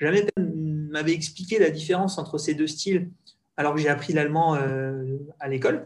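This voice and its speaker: A man speaks with ordinary pitch variation. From Alsace, France. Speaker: French expat professional. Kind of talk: casual interview.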